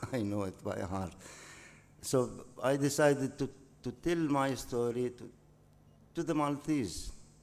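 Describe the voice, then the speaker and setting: A man's medium-pitched voice with an Arabic accent, ordinary pitch variation, a fairly slow pace and long, frequent pauses. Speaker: novelist. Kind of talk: interview. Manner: halting.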